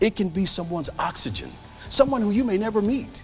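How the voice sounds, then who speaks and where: Music plays behind a man speaking at a fairly quick pace. His intonation is lively. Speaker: keynote speaker. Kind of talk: motivational keynote speech.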